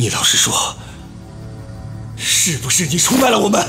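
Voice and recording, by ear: A man puts on a character voice, high-pitched and bright, sharp in tone, with vocal fry. His pitch swings widely as faint music plays in the background. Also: moderate pace.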